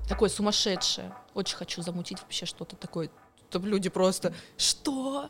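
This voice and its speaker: A woman speaks at a moderate pace with a medium pitch. Her voice is somewhat breathy, and her intonation is lively. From southern Russia, Volgodonsk. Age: 20s. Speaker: party organizer. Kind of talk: podcast interview.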